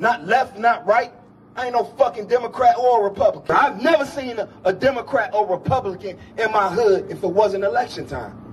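Over light background noise, a man with an extremely high pitch talks at a fairly quick pace. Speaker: speaker. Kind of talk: public speech to crowd. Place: street. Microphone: handheld.

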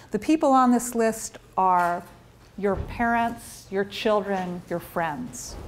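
A woman speaks at a fairly slow pace with lively intonation over light background noise. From US. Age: 50s. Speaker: neuroscientist. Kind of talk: lecture. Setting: stage with audience. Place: office.

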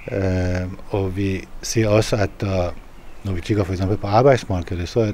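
With light background noise and a dry sound free of echo, a man speaks at a fairly slow pace in a very deep, low pitch. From Iran. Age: 50s. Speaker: politician. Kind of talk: interview. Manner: halting. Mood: calm, earnest.

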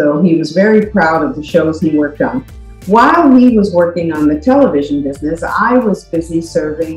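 Faint background music and audible room echo accompany a woman speaking at a moderate pace in a fairly low pitch. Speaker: podcast guest. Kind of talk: personal storytelling. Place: home room. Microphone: webcam.

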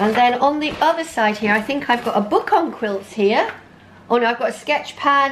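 A woman speaks at a moderate pace over light background noise. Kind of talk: casual vlog chat. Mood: nostalgic, amused. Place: home room.

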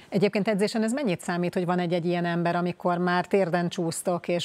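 A woman's fairly low voice at a very fast pace. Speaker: sports interviewer. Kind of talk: interview. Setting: studio. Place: studio. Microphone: lapel.

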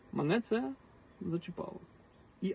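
A man with a western Ukrainian accent and ordinary pitch variation. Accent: Galician (Ternopil) Ukrainian dialect. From western Ukraine, Ternopil region. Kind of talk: personal monologue to camera.

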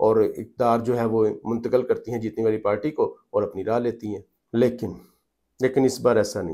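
A man's medium-pitched voice, dark and mellow in tone, at a very fast pace with fairly even intonation over a quiet background. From Pakistan. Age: 40s. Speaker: journalist and political commentator; journalist, political commentator. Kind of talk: political commentary vlog. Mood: serious, grave. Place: home room. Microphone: lapel.

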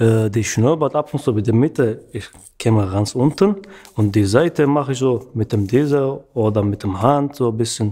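A man speaks at a moderate pace in a dark, mellow tone with ordinary pitch variation over a quiet background. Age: 30s. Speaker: barber; interviewee. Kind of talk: interview monologue. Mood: relaxed, friendly. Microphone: studio mic.

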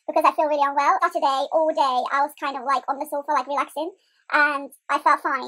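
Against a quiet background, a woman projects a raised voice at a very fast pace. Her tone is bright and sharp, and her intonation monotone and flat. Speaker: fitness vlogger. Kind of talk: casual vlog chat. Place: home room. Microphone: webcam.

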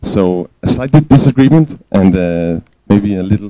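A man with a Danish accent speaks at a fairly low pitch, with ordinary pitch variation and a dark, mellow tone. The sound is dry, with no echo. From Denmark. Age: young. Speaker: youth scout leader, audience questioner; speaker. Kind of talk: audience question at conference. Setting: stage with audience. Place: classroom. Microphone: handheld.

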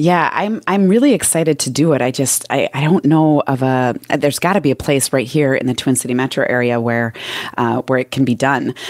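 A woman with a Minnesotan accent has a very deep, low pitch. She talks at a fairly quick pace with ordinary pitch variation. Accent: Minnesota. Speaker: business and mindset coach. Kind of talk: casual interview.

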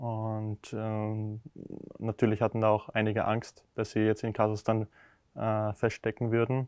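With monotone, flat intonation and a fairly low pitch, a man speaks against a quiet background in a dry sound with no echo. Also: fairly slow pace. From Austria, Lower Austria (Deutsch-Wagram); Lower Austria. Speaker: professional tennis player. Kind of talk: interview. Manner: hesitant with many filler sounds. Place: hall.

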